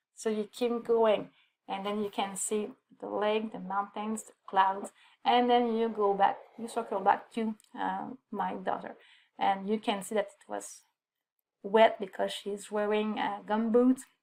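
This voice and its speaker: A fairly high-pitched woman with a French accent, fairly slow and flat in intonation. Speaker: photographer. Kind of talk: photo presentation on a livestream. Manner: halting, many fillers.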